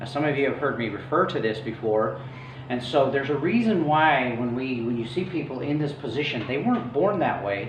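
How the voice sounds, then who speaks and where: Speaking at a fairly quick pace with ordinary pitch variation, a man is heard through audible room echo and noticeable background noise. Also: medium pitch for a man. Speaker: chiropractor. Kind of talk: health lecture with slides. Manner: fast; casual with fillers.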